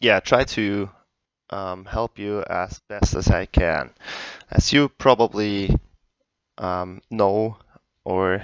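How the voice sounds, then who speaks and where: In a non-native accent, a man speaks very slowly at a fairly low pitch, the sound dry and close with no echo. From Europe, not UK. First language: not English. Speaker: gaming tutorial youtuber. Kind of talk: tutorial. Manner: hesitant, many fillers.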